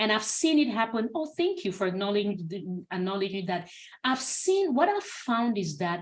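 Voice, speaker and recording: At a fairly quick pace, a woman speaks in a medium pitch with a somewhat breathy quality. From Cameroon. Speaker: clinical research consultant. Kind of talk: webinar Q&A. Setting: video call webinar.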